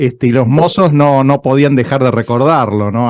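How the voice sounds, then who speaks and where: With an Argentine accent and a dark, mellow tone, a man talks at a moderate pace in a dry, close sound with no echo. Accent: Argentine Rioplatense. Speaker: radio host. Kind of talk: interview.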